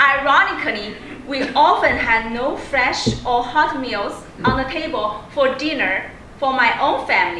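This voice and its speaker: A woman with a Chinese accent speaks in a raised, projected voice at a high pitch and fairly slow pace with lively intonation, amid noticeable background noise and audible room echo. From China. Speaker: public speaking club member. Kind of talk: prepared speech.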